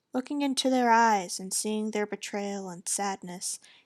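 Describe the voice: Ordinary pitch variation in plain reading aloud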